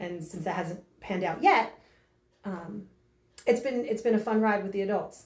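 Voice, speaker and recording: A woman speaks at medium pitch and a moderate pace, with ordinary pitch variation. Her loudness swings widely, and she takes long, frequent pauses. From northern New Jersey. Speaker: fitness coach. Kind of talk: interview. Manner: energetic.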